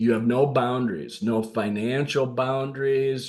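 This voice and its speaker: A man with a northern US accent speaks amid audible room echo. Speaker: leadership coach. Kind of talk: podcast monologue. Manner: casual, with fillers.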